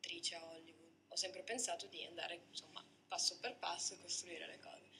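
A woman whispers at a fairly quick pace, her loudness swinging widely. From Switzerland. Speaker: model and actress; actress. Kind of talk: interview. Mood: calm, pleasant. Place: studio.

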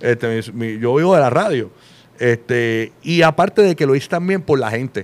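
Lively intonation from a male speaker. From Puerto Rico. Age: 40s. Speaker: radio host; podcast guest, radio host. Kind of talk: casual chat. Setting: studio with live audience. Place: studio. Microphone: studio mic.

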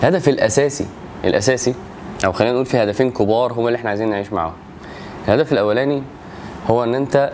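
With light background noise behind him, a man talks at a very fast pace. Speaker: religious teacher. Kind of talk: lecture. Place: home room.

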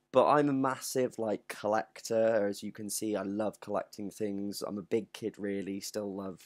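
A man with a fairly low pitch uses a normal speaking voice at a fairly slow pace, with a quiet background. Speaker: collector vlogger. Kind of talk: casual vlog chat, unboxing review. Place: home room. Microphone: webcam.

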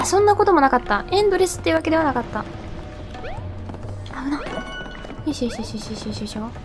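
Over music in the background, a woman talks very fast in a high voice with very wide pitch swings and long, frequent pauses. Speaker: video game commentator. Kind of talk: game commentary. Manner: excitable, expressive.

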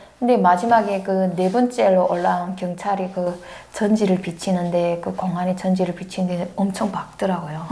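A woman's fairly even intonation at a moderate pace. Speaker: interview guest. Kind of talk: interview answer, storytelling. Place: studio. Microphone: lapel.

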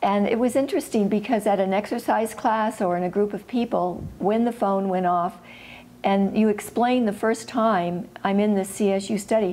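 A woman speaks at a moderate pace with a dark, mellow tone. Her loudness stays very even and her intonation fairly even. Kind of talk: interview answer. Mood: reflective, warm. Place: home room. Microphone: lapel.

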